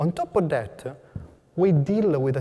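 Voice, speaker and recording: A man talks with lively intonation. His voice sounds somewhat breathy. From Italy. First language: Italian. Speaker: cancer researcher. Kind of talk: research presentation to an audience. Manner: hesitant, with fillers.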